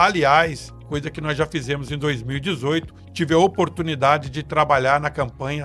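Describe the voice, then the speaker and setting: With music in the background, a man speaks at a moderate pace in a fairly high voice. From Espírito Santo, Brazil. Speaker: political marketing consultant. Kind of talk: podcast interview answer.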